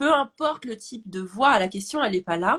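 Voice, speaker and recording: Recorded dry and close with no echo, a woman speaks at a very slow pace. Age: 20s. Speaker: business coach. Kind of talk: casual chat. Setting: live video stream.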